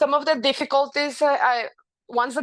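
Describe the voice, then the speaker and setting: In a dry, close sound with no echo and a quiet background, a woman speaks at a fairly quick pace with a Spanish accent. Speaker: physician. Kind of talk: presentation. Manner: halting.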